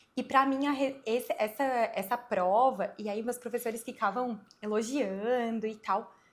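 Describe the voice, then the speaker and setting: This woman is soft-spoken, with a fairly high pitch, a moderate pace and fairly even intonation. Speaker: gynecologist. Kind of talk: casual interview.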